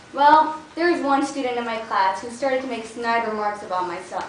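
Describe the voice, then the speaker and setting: Noticeable background noise and audible room echo surround this woman with an American accent. Her pitch is fairly high and her intonation lively. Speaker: public speaking club member. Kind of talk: prepared speech.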